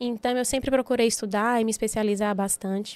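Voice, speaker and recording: Recorded very cleanly against a silent background, a woman with an unremarkable speaking voice talks at a fairly high pitch with fairly even intonation. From Bahia, Brazil (Itabuna, southern Bahia). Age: 30s. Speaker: physiotherapist and entrepreneur. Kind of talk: podcast interview.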